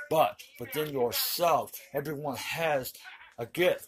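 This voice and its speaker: Over noticeable background noise, a man talks at a very slow pace in a fairly high pitch with ordinary pitch variation. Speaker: online commentator. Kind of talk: monologue.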